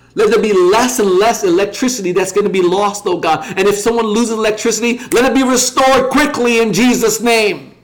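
A high-pitched man talks fairly quickly with hardly any pauses, ordinary pitch variation and very even loudness. Noticeable background noise runs underneath. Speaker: online prayer leader. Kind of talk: fervent intercessory prayer, petitioning God for healing and deliverance. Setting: livestream broadcast. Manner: impassioned and repetitive, piling up 'Lord God' and 'oh God' refrains; rising, declarative cadence building to proclamations of God's power.

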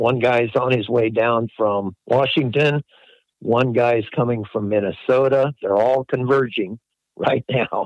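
This man has a normal speaking voice at medium pitch. His loudness stays very even and his pace is fairly slow. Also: fairly even intonation. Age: 60s. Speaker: crop duster pilot, business owner. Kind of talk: interview.

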